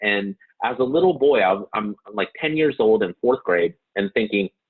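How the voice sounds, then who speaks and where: A man speaks at a moderate pace. He has a Californian accent. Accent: Californian American. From Santa Monica, California, US. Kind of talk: interview. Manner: halting.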